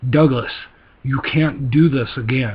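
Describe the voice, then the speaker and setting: A man puts on a raspy character voice at medium pitch, going at a fairly slow pace. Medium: read story.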